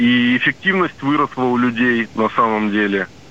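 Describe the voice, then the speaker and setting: A man with a medium pitch talks at a fairly slow pace against noticeable background noise. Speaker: caller, small business owner. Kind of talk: phone-in question. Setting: phone call.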